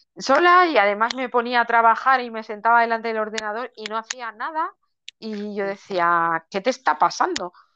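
A woman's fairly high, bright, sharp voice at a moderate pace, with lively intonation and big swings in loudness, over a quiet background. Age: 40s. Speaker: coach and mentor for amputees. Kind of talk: interview. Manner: halting.

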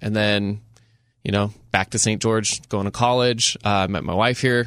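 A man with an American accent talks at a fairly low pitch and a moderate pace, in an unremarkable speaking voice. The recording is very clean, with a silent background. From rural southern Utah. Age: 20s. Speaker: media producer. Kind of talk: casual chat. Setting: studio.

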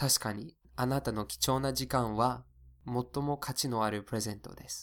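A man with an American accent and medium pitch, a normal speaking voice, on a very clean recording with a silent background. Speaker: English teacher, podcast host. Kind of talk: English lesson podcast, bilingual.

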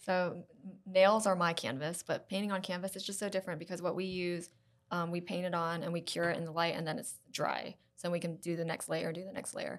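A woman with a Southern US accent talks at a fairly quick pace. Her fairly low voice keeps a fairly even intonation. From US South (South Carolina). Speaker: nail technician and salon co-founder. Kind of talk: casual chat.

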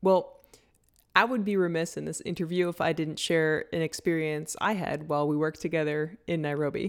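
In a very clean recording with a silent background, a woman with a normal speaking voice talks at a fairly quick pace, her fairly low pitch held in fairly even intonation. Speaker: podcast host. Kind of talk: interview, conversational.

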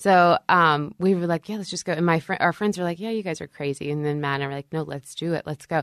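An unremarkable speaking voice from a woman with an American accent, fairly low in pitch with ordinary variation, against a quiet background. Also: dry, close sound with no echo. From US South, northeast Texas near Shreveport. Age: 30s. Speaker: fashion blogger and business owner. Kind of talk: casual interview chat.

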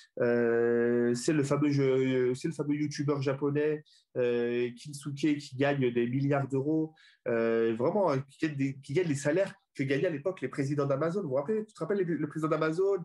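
A man talks at a fairly slow pace in a normal speaking voice, pitched fairly high. The background is quiet. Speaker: comedian and comedy club founder. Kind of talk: casual chat.

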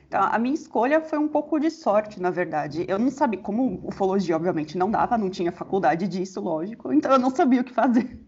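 Talking very fast with hardly any pauses, a woman uses a fairly high pitch and very wide pitch swings. Noticeable background noise is present. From São Paulo, Brazil. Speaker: astronomy researcher. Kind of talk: interview.

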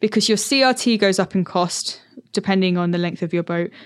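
Here is a woman with a normal speaking voice and a medium pitch. She goes at a fairly quick pace, the sound dry and close with no echo. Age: 20s. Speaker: podcast host, narrowboat dweller working in TV. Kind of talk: casual interview chat.

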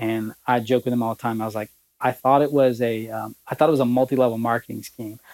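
Speaking very fast in a Southern US accent, a man holds a medium pitch in a flat monotone, the sound dry and close with no echo. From Alabama. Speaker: promotional products sales executive. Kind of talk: casual interview.

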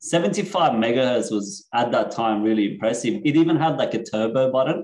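A man with an Australian accent, medium pitch, ordinary pitch variation, and a moderate pace. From Australia (Sydney), born in Iran. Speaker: decentralization and digital privacy consultant. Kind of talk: casual interview chat.

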